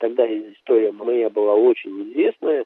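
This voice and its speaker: A man with a normal speaking voice moves at a moderate pace, his intonation lively. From Russia, Sverdlovsk region. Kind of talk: interview.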